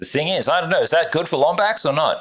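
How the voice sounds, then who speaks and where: Here a man talks with an Australian accent. His pace is fairly quick. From Australia, Northern Territory (tropical north). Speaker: gaming streamer. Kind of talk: casual livestream chat. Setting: home room livestream. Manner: casual, rambling.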